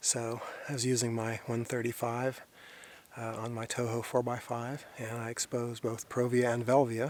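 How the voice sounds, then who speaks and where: The man talks quietly at a moderate pace, at a medium pitch. His intonation is flat and monotone. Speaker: landscape photographer. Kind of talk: outdoor vlog narration; scripted narration. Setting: outdoors in a canyon. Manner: quiet, keeping voice down.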